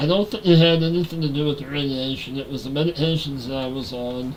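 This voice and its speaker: A man's fairly high-pitched speech, ordinary in its pitch variation, set against noticeable background noise. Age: 40s. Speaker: gaming livestreamer. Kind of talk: casual livestream chat.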